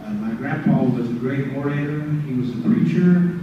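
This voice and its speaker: With an Oklahoma accent, a man at medium pitch swings his voice very widely, amid audible room echo and noticeable background noise. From Oklahoma, Creek Nation (rural, near Wetumka). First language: Muscogee Creek. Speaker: language teacher. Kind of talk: lecture. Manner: halting, many fillers.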